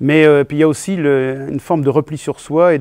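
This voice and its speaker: A man's dark, mellow voice at a moderate pace, dry and close with no echo. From Vendée, western France. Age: 60s. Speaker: comedian. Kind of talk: interview. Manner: halting, many hesitations.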